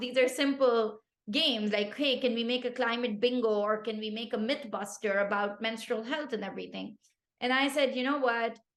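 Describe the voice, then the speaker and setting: Fairly quick, animated speech from a woman with a Pashto accent and a fairly high pitch. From Pakistan. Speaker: tech founder. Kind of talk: podcast interview.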